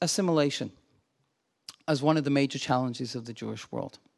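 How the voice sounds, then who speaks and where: Speaking with an American accent, a man has a fairly high pitch. His tone is animated. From Glasgow, Scotland. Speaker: visiting scholar and lecturer on Judaism. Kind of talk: lecture. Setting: lecture hall with audience. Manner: friendly, humorous, animated.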